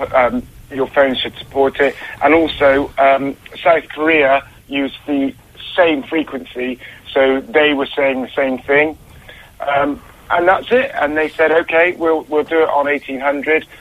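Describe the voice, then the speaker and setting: His intonation is fairly even, and the man's pitch sits fairly high. He talks at a fairly slow pace over noticeable background noise. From Bristol. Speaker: caller. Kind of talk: casual chat. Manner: halting, hesitant.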